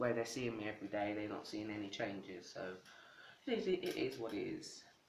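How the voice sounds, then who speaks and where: Male voice with audible room echo. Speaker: video blogger. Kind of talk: casual vlog answering tag questions. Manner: casual, halting with filler words.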